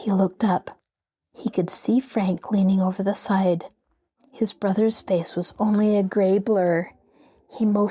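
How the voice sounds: Fairly even intonation marks a natural reading voice against a quiet background.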